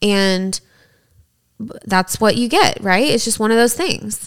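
A woman speaks with a Southern US accent and ordinary pitch variation. The recording is very clean, with a silent background. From East Tennessee. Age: 30s. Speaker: podcast co-host. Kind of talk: casual chat.

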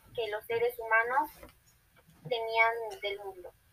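A woman speaks with an ordinary speaking voice. Her pitch is fairly high and her pace fairly slow. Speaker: university student playing a historian. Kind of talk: scripted class podcast.

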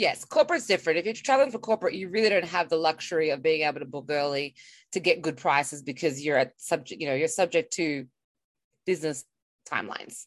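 A woman with an Australian accent and a very deep, low pitch talks at a very fast pace with lively intonation against a quiet background. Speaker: podcast co-host. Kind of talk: casual chat.

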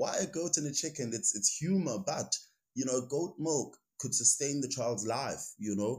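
Speaking with a South African accent, a man sounds somewhat breathy and lively in intonation at a moderate pace. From South Africa, Eastern Cape. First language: Xhosa. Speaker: recruitment headhunter and rugby player. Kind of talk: casual interview.

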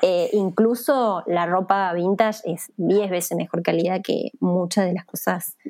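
A woman with a plain, everyday voice speaks at medium pitch and a fairly slow pace. She uses ordinary pitch variation and hardly any pauses. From Argentina, Villa María, Córdoba. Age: 30s. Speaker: fashion activist, NGO coordinator. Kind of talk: interview.

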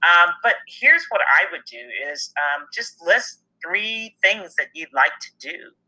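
Fairly slow speech from a woman with big swings in loudness. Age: 50s. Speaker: business leader and speaker. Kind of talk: interview.

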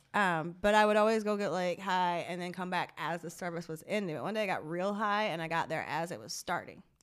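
A woman with an American accent speaks at a fairly quick pace with hardly any pauses, her pitch fairly low and its variation ordinary. The recording is very clean, with a silent background. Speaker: guest, cannabis industry worker. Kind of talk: casual chat.

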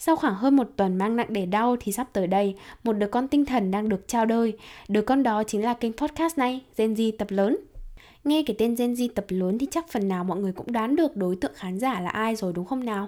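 In a Hanoi accent, a woman talks at a fairly quick pace with a fairly high pitch, a dark, mellow tone and ordinary pitch variation, on a very clean recording with a silent background. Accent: Northern Vietnamese (Hanoi). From Hanoi, northern Vietnam. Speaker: podcast host. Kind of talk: solo podcast monologue, casual. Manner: very fast talker; casual, conversational.

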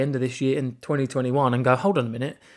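A man speaks with an English accent. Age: 20s. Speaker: podcast host. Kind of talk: personal monologue. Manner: halting.

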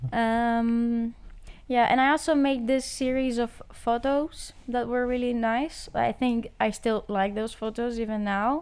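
Her intonation fairly even, a woman with a Greek accent speaks at a fairly high pitch. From Greece. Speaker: art student. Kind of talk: casual chat.

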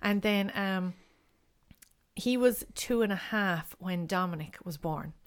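A woman with a Kerry accent at a very slow pace, medium pitch, ordinary pitch variation and long, frequent pauses. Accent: Kerry Irish. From Ireland, Castlegregory, County Kerry. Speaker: artist and mother. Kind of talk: casual chat.

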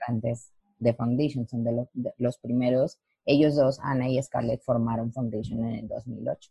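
A woman with a very deep, low voice speaks fairly slowly in a flat monotone, sounding somewhat breathy. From Mexico, Lerdo, Durango. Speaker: dancer and dance teacher. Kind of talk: interview.

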